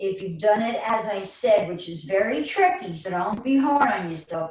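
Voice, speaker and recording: A woman in a New York accent, fairly slow in pace, with ordinary pitch variation and audible room echo. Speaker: chair yoga teacher. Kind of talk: guided exercise class. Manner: animated.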